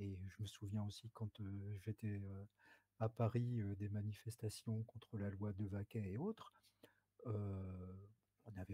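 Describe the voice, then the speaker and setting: In a dry, close sound with no echo, a man speaks slowly-ish at a fairly slow pace, fairly low in pitch, with a dark, mellow, somewhat breathy tone and fairly even intonation. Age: 60s. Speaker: human rights activist, observer. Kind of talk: interview. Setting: video call. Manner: hesitant.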